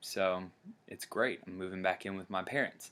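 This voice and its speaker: Bright and sharp in tone, a man's fairly low voice comes with a Tennessee accent. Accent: US Southern (Tennessee). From Tennessee, Chattanooga. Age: 20s. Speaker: vlogger. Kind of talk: personal testimony vlog. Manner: halting, many fillers.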